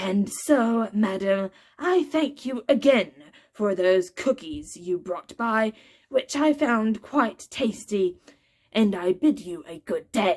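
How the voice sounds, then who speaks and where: A woman's raspy, put-on character voice, fairly high in pitch, with lively intonation at a fairly slow pace. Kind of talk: pompous clergyman. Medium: read story. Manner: formal, stiff.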